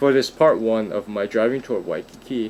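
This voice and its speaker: The man's pitch sits in the medium range. He keeps a moderate pace and fairly even intonation. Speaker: real estate agent. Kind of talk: narrated driving tour. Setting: in a car. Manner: monotone.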